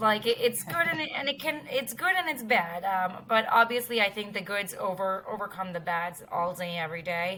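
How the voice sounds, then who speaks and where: Against noticeable background noise, a woman with an American accent talks at a moderate pace. Her pitch swings very widely and her loudness shifts in big swings. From United States (moved from India at age four). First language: Indian language (English second). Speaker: dental talent recruitment manager. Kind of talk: podcast interview.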